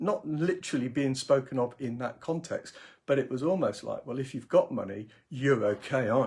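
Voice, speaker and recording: This man has a British accent and a fairly high pitch with ordinary variation. His voice is somewhat breathy, and his pace is moderate. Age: 60s. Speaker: career coach. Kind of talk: live video blog. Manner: halting, many fillers and repetitions.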